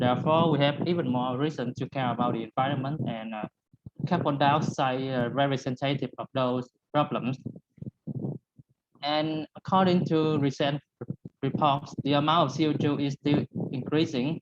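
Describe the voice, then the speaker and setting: The speaker has a Vietnamese accent and a moderate pace. Long pauses come often. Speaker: student researcher presenter. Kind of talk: conference presentation. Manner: halting.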